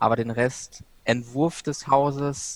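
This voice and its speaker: A man speaking very slowly with fairly even intonation, in a dry, close sound with no echo. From Ruhr area, Germany (Bochum). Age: 20s. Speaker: student and freelance author. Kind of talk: podcast interview.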